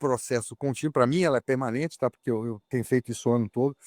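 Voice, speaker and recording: In an unremarkable speaking voice, a man talks at a medium pitch with ordinary variation. The recording is very clean, with a silent background and a dry, close sound with no echo. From Brazil. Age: 60s. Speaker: racing driver. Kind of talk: interview.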